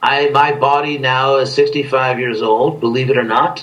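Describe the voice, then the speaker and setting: Room echo is audible as a man talks at a fairly slow pace with a fairly high pitch. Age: 60s. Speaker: spiritual leader. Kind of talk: interview.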